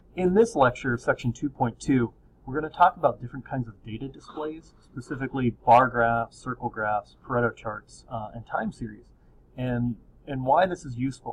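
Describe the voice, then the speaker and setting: A man speaks with big swings in loudness and a somewhat breathy quality. His pitch varies in an ordinary way. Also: medium pitch for a man, moderate pace. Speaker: statistics teacher. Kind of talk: lecture. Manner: calm; soft-spoken.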